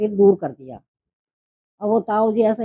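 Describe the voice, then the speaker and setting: The sound is dry and close, with no echo. A woman speaks in a dark, mellow tone at a fairly high pitch. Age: 70s. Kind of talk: interview answer.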